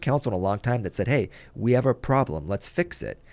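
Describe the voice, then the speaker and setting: With a Californian accent, a man talks at a very fast pace and with lively intonation. The sound is dry and close, with no echo. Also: very clean recording, silent background. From US West Coast, Ventura, California. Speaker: mayor. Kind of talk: radio interview. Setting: studio.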